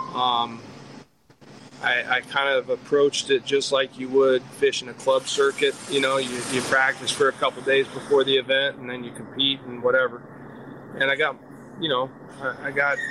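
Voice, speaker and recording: The man speaks in a medium pitch at a moderate pace with monotone, flat intonation. Background noise is noticeable. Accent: American. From Wisconsin. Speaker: professional bass angler and fishing guide. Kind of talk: casual interview. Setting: remote call.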